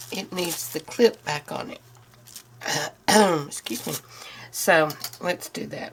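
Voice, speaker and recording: Noticeable background noise under speech at a fairly slow pace. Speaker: crafter making a handmade journal. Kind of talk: tutorial. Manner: hesitant, many fillers.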